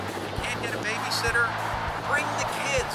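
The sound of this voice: There is music in the background. Over it, a man talks fairly quickly.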